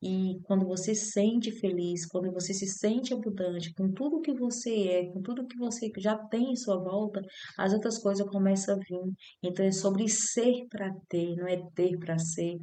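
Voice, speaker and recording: A woman at a medium pitch, fairly slow, with ordinary pitch variation and noticeable background noise. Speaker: spiritual vlogger. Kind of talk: personal testimony. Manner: halting.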